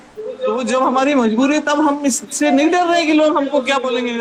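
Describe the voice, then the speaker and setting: A woman with a high voice talks over noticeable background noise. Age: 60s. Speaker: workshop speaker. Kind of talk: motivational talk to students. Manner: conversational, addressing audience directly.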